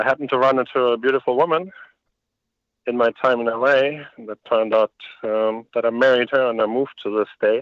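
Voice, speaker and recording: Very fast speech in a German accent with fairly even intonation. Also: man, medium pitch for a man. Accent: German, noticeable. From Germany. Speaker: lighting industry executive. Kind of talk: interview.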